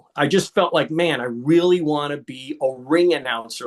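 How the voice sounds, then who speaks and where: A man speaks at a fairly high pitch with ordinary pitch variation. It is a plain, everyday voice. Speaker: ring announcer. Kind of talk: interview answer.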